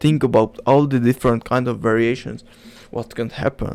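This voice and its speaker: This man speaks with a non-native accent. His intonation is fairly even. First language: not English. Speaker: self-help vlogger. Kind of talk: casual monologue. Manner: halting.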